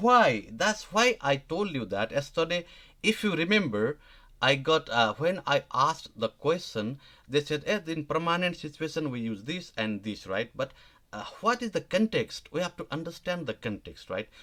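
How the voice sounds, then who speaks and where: Speaking at a moderate pace with a Nepali accent, a man has a fairly high pitch and a bright, sharp tone. His pitch swings very widely. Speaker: language teacher. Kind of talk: live online lesson. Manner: halting, many fillers.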